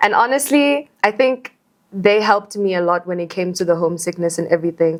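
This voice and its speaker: With a South African accent, a woman speaks at a fairly quick pace. Her pitch is medium and her intonation lively. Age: 20s. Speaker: content creator. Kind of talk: podcast interview. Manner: fast.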